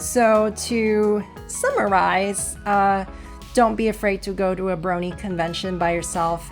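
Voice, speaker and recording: The delivery is very slow. Behind it, music plays in the background. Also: woman. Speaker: convention-goer, introvert. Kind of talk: casual talk to camera.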